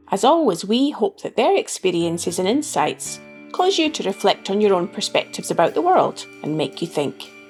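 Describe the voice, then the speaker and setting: Music playing in the background behind a woman speaking at a moderate pace. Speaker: podcast host. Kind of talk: podcast intro.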